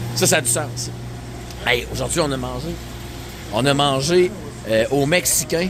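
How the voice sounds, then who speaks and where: A man in a Quebec accent at a very slow pace, with noticeable background noise. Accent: Québécois French. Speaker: travel vlogger. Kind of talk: casual vlog narration. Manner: animated.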